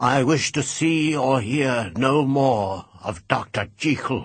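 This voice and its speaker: A man uses a put-on, shaky character voice at medium pitch. He talks at a fairly slow pace with very even loudness. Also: ordinary pitch variation. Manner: loud, unsteady, trembling.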